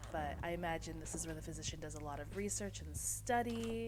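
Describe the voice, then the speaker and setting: The delivery is very fast. Music plays in the background. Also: woman. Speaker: VTuber. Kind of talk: casual game tour narration.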